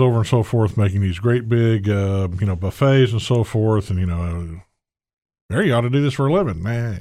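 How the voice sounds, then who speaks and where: A man with a Southern US accent, fairly low pitch, ordinary pitch variation and a fairly quick pace on a very clean recording with a silent background. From US South, Gulf Coast. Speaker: chef. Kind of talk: cooking demo interview. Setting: kitchen. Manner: rambling, halting.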